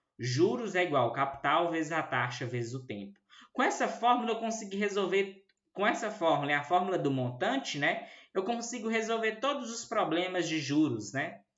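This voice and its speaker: Amid audible room echo, a man talks at a moderate pace, his high pitch swinging very widely. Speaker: math teacher. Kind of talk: lecture.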